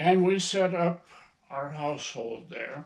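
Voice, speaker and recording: The speaker has an American accent and ordinary pitch variation. The pace is very slow. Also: man. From northern Minnesota, Iron Range. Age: 80s+. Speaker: grandfather and hunter. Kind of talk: casual interview, storytelling. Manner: halting, with fillers.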